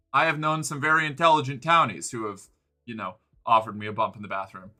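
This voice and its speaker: A man at a medium pitch, very fast and with lively intonation, his loudness swinging widely, with music in the background. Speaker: streamer. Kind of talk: casual livestream chat. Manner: halting, many repeated words.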